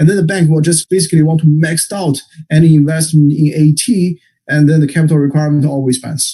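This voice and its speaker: Talking very fast, a man with a fairly high pitch sounds somewhat breathy. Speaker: economics researcher presenting a paper. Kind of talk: academic seminar presentation. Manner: repetitive stammering.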